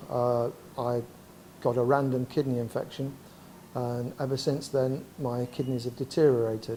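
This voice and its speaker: With an East Midlands accent, a man speaks in monotone, flat intonation, broken by long, frequent pauses. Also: medium pitch for a man, moderate pace. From Derby, England. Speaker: kidney patient. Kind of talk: testimony.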